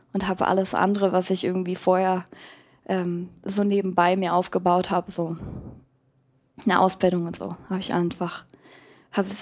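On a very clean recording with a silent background, a woman of medium pitch speaks at a moderate pace in a monotone, flat way. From Germany, Berlin-Kreuzberg and Wendland. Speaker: pop musician. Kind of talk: live podcast interview. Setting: live stage with audience.

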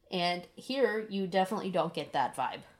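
Medium pitch from a female speaker. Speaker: podcast co-host, first-time reader. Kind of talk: casual chat book discussion. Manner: sincere-sounding.

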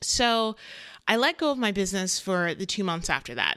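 The voice has a bright, sharp tone, lively intonation and a moderate pace. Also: woman. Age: 30s. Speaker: podcast host, online business manager. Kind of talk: solo podcast monologue.

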